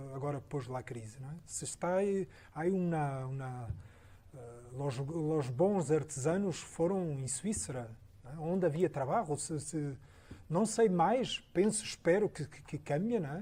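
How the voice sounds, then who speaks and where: This man's voice is somewhat breathy, with a dark, mellow tone and fairly high pitch. He speaks at a fairly slow pace with lively intonation. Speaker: architect. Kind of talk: Q&A after a lecture. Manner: halting, many repetitions.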